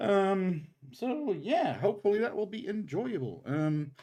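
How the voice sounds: A man with a high pitch and a slightly mellow tone talks at a fairly slow pace, his pitch swinging widely.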